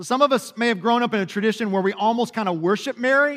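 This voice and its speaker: A man with a Kentucky accent talks at a very fast pace. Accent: Kentucky Southern American. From Kentucky, US South. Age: 40s. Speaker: pastor. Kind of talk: sermon. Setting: church.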